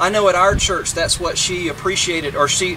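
Through noticeable background noise, a man can be heard talking. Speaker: minister officiating a funeral. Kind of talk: funeral sermon. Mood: gentle, solemn, comforting. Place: open country. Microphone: camera far.

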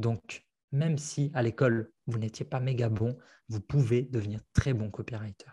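A man's somewhat breathy voice with a dark, mellow tone and fairly even intonation, against a quiet background. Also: medium pitch for a man, fairly slow pace. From France. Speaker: copywriting coach and author; copywriting coach. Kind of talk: interview. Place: home room. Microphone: earbuds.

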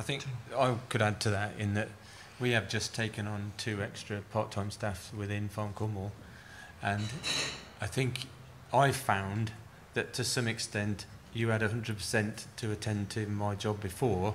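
A man with a fairly low pitch and a somewhat breathy voice speaks monotone and flat. His pace is fairly slow, with long, frequent pauses over light background noise. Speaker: farm advisor and panel chair; panel chair. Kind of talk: chairing a panel. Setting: stage with audience. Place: hall. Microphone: podium.

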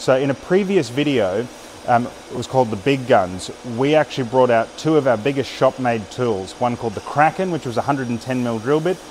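A man speaks at a moderate pace with ordinary pitch variation over light background noise. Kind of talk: casual vlog chat. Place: workshop. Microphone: phone near.

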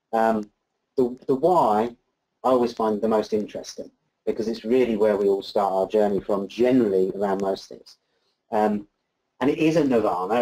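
In a plain, everyday voice, a man with fairly low pitch speaks at a moderate pace with ordinary pitch variation against a quiet background. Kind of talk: presentation talk. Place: meeting room.

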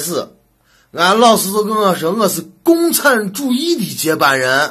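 Fairly slow male speech in a Shaanxi accent, on a very clean recording with a silent background. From Shaanxi, China. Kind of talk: comedic monologue to camera.

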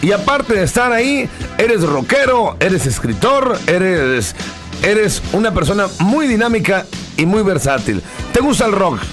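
Fairly slow speech over clear music in the background. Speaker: radio interviewer. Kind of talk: radio interview. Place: studio.

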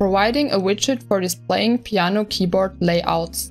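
With music in the background, a woman talks fairly slowly at a medium pitch, her intonation lively. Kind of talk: tech news roundup narration.

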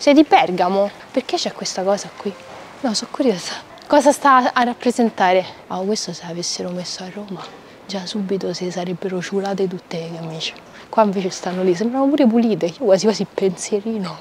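Over light background noise, a woman talks at a fairly quick pace with ordinary pitch variation and a dry sound with no echo. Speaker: travel vlogger. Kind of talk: casual vlog chat. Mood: cheerful, playful, curious. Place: street. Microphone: lapel.

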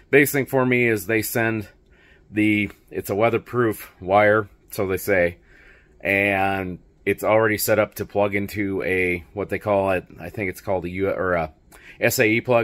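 Against a quiet background, a man with fairly low pitch talks at a fairly slow pace with fairly even intonation. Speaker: motorcycle vlogger. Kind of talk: casual vlog chat. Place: garage. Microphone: phone near.

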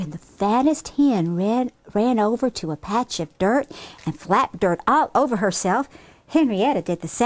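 In plain reading aloud, the pitch moves with a lively, varied rise and fall.

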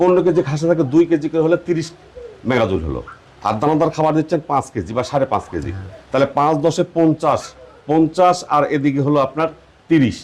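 With noticeable background noise, a man speaks at a fairly high pitch with ordinary pitch variation. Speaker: youth development show host. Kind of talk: interview on a dairy farm; scripted presenter intro. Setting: on location in a village farm.

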